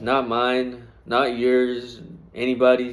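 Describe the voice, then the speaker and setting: A man speaks at a medium pitch. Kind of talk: casual faith talk to camera. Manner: halting, repeats words.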